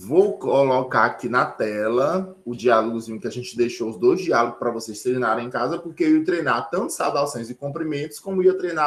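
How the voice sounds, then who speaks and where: An unremarkable speaking voice is heard. It moves at a moderate pace. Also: man. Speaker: sign language teacher. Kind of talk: online lecture.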